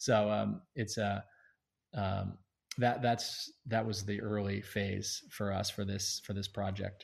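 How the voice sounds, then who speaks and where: In a quiet background, a man with an American accent speaks very slowly at a fairly low pitch, his somewhat breathy voice monotone and flat. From North Carolina. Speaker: app founder. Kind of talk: casual interview.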